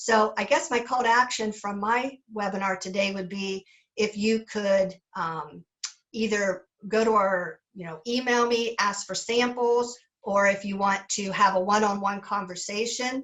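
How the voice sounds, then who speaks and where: This is a woman with a plain, everyday voice. Her pitch sits fairly high and her intonation stays fairly even. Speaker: sales representative. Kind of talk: sales webinar presentation. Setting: webinar.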